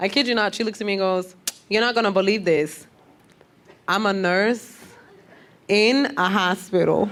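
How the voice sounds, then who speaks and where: In an animated tone, a woman talks with a New York accent. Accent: New York (Bronx). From Bronx, New York. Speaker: comedian. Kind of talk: stand-up. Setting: stage with audience.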